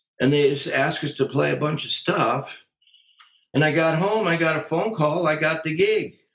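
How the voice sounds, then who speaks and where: A man with an American accent speaks at a fairly slow pace in a fairly high pitch. The room echo is audible, and the background is quiet. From US, Western Massachusetts then California; California. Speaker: jazz drummer and drum educator; drum educator. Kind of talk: interview. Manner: casual. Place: home room. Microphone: webcam.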